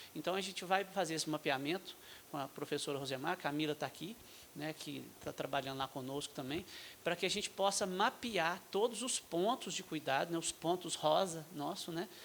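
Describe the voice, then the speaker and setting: In a Minas Gerais accent, a man speaks at a moderate pace in a high voice with ordinary pitch variation. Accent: mineiro accent, noticeable. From Brazil, Minas Gerais. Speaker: state health official, physician. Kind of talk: panel talk at medical forum. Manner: halting, many fillers.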